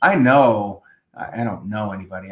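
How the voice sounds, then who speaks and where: This man's pace is moderate. His voice sits at a medium pitch. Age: 60s. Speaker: physician. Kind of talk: interview. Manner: halting, many fillers.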